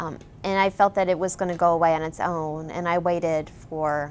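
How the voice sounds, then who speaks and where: Speaking at a moderate pace, a woman has a very deep, low pitch and a Midwestern US accent. Her intonation is monotone and flat. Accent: US Midwest. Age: 30s. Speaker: patient. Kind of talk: testimony. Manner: halting.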